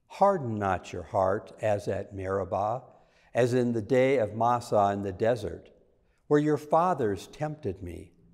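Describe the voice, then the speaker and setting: Against a quiet background, the speech moves at a very slow pace with lively intonation. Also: man. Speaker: lector reading scripture and intercessions. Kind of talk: scripture reading and prayers of the faithful. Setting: church. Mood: calm, solemn. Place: church. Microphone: lapel.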